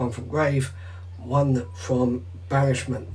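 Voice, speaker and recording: A man with a British accent speaks very slowly at a medium pitch, somewhat breathy, with audible room echo. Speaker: card game vlogger. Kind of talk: vlog commentary over gameplay footage. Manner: casual.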